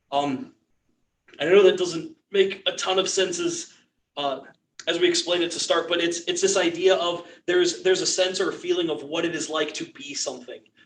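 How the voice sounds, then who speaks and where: Fairly even intonation runs through delivery at a fairly quick pace. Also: man, high pitch for a man. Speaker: church class teacher. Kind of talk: lecture. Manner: halting.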